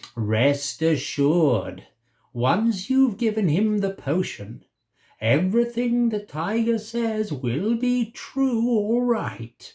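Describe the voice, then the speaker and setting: A man puts on a character voice at a high pitch. He speaks at a very slow pace. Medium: read story.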